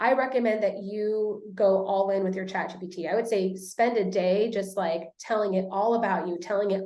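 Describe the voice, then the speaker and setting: With audible room echo, a woman at a medium pitch speaks at a fairly quick pace and with fairly even intonation. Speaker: social media marketing coach. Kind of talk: webinar presentation. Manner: fast.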